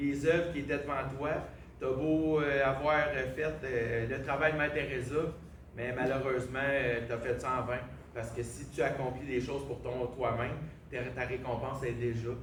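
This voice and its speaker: A man with a Quebec accent speaks in a fairly even intonation with long, frequent pauses, against noticeable background noise and audible room echo. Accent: Québécois French. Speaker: preacher. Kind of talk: sermon.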